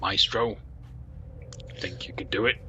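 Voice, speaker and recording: Putting on a raspy character voice, a man speaks over light background noise. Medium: actual play. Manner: loud, impatient, gleeful.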